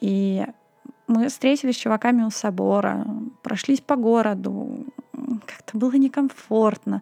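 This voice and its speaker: Over music in the background, a woman with a fairly high pitch talks at a fairly slow pace with fairly even intonation and long, frequent pauses. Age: 20s. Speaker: podcast host. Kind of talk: solo storytelling podcast.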